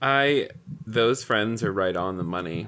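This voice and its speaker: Fairly slow speech from a man with an American accent and a bright, sharp tone. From US South, rural Tennessee. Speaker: spiritual director and coach. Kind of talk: casual chat.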